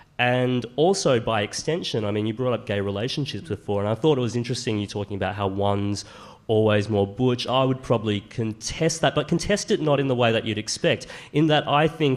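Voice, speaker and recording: Talking at a fairly quick pace, a man with an Australian accent keeps a medium pitch and ordinary pitch variation. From Queensland, Australia. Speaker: author and commentator. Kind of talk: panel discussion.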